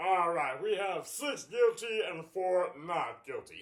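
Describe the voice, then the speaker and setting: This man talks fairly slowly. His put-on character voice sits high in pitch. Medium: stage play. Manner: formal, measured.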